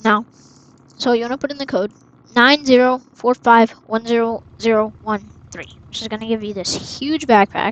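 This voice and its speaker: A woman talks in a normal speaking voice at a fairly high pitch and moderate pace, with fairly even intonation. Her loudness swings a lot, and the sound is dry and close with no echo. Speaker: gaming tutorial youtuber. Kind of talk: tutorial.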